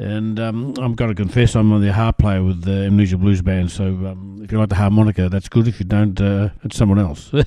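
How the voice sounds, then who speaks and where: On a very clean recording with a silent background, a man with an Australian accent speaks at a fairly quick pace with hardly any pauses, in a fairly low, dark, mellow voice with fairly even intonation. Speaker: radio host. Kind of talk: radio DJ patter introducing tracks. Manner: relaxed, chatty, easygoing; hesitant, filler-heavy, casual.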